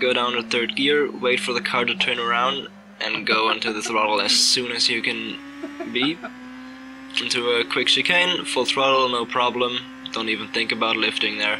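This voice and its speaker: Over noticeable background noise, a man talks at a moderate pace with a medium-pitched voice. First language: not English. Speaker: sim racing driver. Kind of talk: race commentary over gameplay. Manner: animated.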